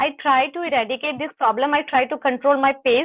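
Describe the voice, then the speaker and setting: A woman with a high voice speaks in an Indian accent. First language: Hindi. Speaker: English learner. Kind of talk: conversation practice. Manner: fast; halting.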